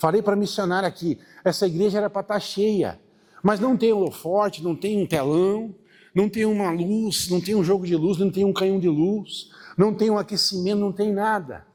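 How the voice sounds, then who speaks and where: Very clean, with a silent background, this recording has a man speaking at a high pitch. He keeps a moderate pace and fairly even intonation. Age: 50s. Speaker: pastor. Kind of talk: sermon. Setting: church.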